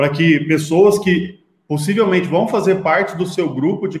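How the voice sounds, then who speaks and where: With ordinary pitch variation, a man talks in a somewhat breathy tone. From Brazil, Goiás (Itumbiara). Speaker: digital marketing agency founder. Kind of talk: interview.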